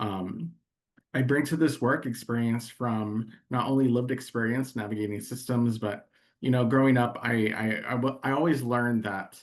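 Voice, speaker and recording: A man speaks at a moderate pace in a medium pitch, his intonation fairly even. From Texas, Laredo (Mexican-American). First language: Spanish. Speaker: nonprofit consultant and coach. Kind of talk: interview. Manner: halting, many fillers.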